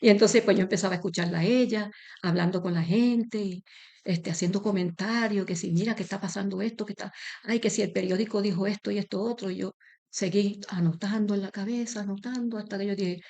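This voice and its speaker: A woman talks at a very fast pace in a dark, mellow tone with a Puerto Rican accent. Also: medium pitch for a woman, quiet background. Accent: Puerto Rican Spanish, unchanged. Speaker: interviewee, association member. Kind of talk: interview.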